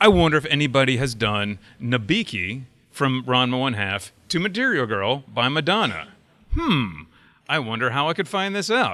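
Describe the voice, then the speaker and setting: A man's bright, sharp voice with very wide pitch swings, on a very clean recording with a silent background. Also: medium pitch for a man, moderate pace. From US South, upstate South Carolina. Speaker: website founder, convention panelist. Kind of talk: convention panel talk. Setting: stage with audience. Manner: casual, hesitant with fillers.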